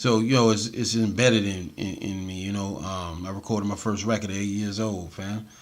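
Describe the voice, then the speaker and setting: Here a man talks at a fairly quick pace in a fairly low pitch. He uses hardly any pauses. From US South (Atlanta). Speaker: hip hop and reggae artist. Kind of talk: casual interview chat. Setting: studio. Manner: animated.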